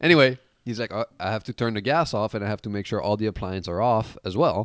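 Fairly low in pitch, this man has a plain, everyday voice with ordinary pitch variation. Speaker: podcast co-host. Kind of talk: casual comedy podcast banter.

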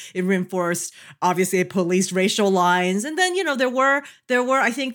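Animated in tone, a woman at medium pitch makes very wide pitch swings on a very clean recording with a silent background. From immigrant to the US as a child. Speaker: sociologist and podcast host. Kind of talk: casual chat.

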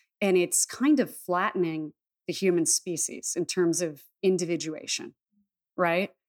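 Here a woman with a fairly low pitch has a plain, everyday voice and keeps a moderate pace. The recording is very clean, with a silent background. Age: 30s. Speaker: shaman and intuitive healer. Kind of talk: casual chat.

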